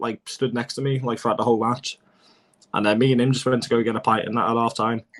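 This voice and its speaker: A man speaks with a Liverpool accent. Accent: Scouse. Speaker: football fan pundit. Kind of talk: casual chat.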